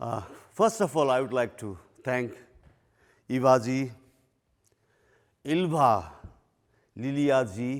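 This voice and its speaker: This man talks at a very slow pace with a Nepali accent, lively intonation, and long, frequent pauses. The recording is very clean with a silent background. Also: medium pitch for a man. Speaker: retired police chief. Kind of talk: lecture. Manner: loud.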